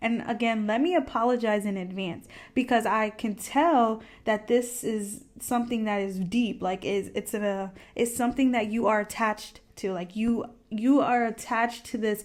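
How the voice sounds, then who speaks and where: In an unremarkable speaking voice, a woman talks at a moderate pace with a fairly high pitch and ordinary pitch variation, on a very clean recording with a silent background. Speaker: tarot card reader. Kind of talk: pick-a-card tarot reading. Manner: casual, conversational.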